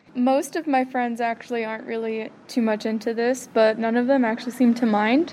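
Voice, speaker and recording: Noticeable background noise accompanies a woman's fairly high voice. She talks at a fairly quick pace with hardly any pauses and fairly even intonation. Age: 20s. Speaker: college student. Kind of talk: casual interview.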